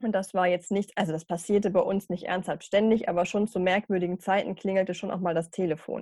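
A woman talks at a fairly quick pace in a medium pitch, with fairly even intonation. Her tone is dark and mellow, and the sound is dry and close with no echo. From northern Germany, Hanover region. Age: 30s. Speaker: funeral speaker and care worker. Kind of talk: casual interview.

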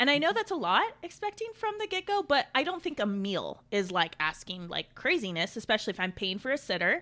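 A woman's high, raised and projected voice with a bright, sharp tone, very wide pitch swings and hardly any pauses. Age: 30s. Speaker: podcast host. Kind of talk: casual chat.

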